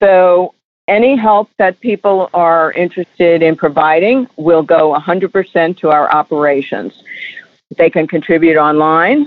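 A woman speaks slowly-ish in a normal speaking voice, pitched fairly low. Her loudness stays very even, with ordinary pitch variation. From New York. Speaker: charity founder. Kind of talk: interview.

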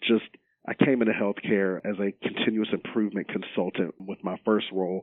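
With a plain, everyday voice, a man of fairly low pitch speaks at a fairly quick pace and with fairly even intonation. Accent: American. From Roanoke and Salem, Virginia. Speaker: retired football player, healthcare quality manager. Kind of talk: interview.

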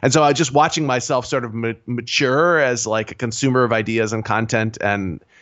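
A man's normal speaking voice at medium pitch, with ordinary pitch variation and a fairly quick pace. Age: 40s. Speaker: indie game designer. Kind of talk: casual interview.

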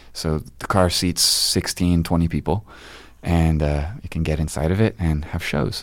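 A soft-spoken man with a very deep, low pitch and an American accent, at a moderate pace with ordinary pitch variation. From US Midwest, Bloomington, Indiana. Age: 30s. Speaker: musician. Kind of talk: casual interview. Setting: studio.

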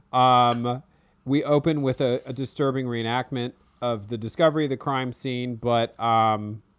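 On a very clean recording with a silent background, a man with an unremarkable speaking voice talks at medium pitch with fairly even intonation. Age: 40s. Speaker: podcast host and novelist. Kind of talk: casual chat about a true crime show.

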